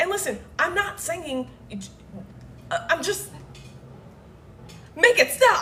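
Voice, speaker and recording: Loud and animated, a woman speaks with very wide pitch swings over noticeable background noise. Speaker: livestreamer. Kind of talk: casual rant on livestream. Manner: animated, loud.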